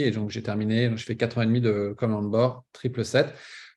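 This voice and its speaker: A man at medium pitch. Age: 50s. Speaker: pilot recruitment coach. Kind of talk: webinar presentation. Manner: hesitant, many fillers.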